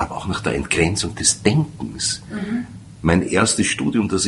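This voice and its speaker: A man delivers his words at a fairly slow pace while noticeable background noise carries on behind him. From Austria, Vienna. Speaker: radio host and sociologist. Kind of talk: interview.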